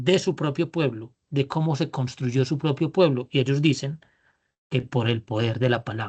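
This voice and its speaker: Over a quiet background, the speaker talks with a strong Antioquian accent. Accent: paisa (Antioquia Colombian), strong. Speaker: business leadership trainer. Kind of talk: online workshop lecture. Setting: video call. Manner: drawling.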